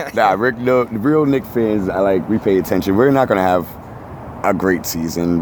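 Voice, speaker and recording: A man with a New York accent speaks at a moderate pace in a fairly low pitch, his tone animated and his intonation lively, his loudness very even over noticeable background noise. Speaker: tattoo artist and reality TV cast member. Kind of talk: casual interview chat.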